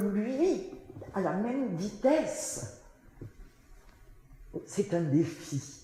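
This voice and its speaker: Her pitch swings very widely as the woman speaks at a very slow pace. There is noticeable background noise. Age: 80s+. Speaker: singer. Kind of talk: interview answer.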